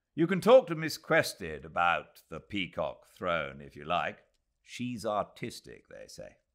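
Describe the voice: At a fairly slow pace, a man does a put-on character voice with a low pitch, very wide pitch swings and vocal fry, on a very clean recording with a silent background.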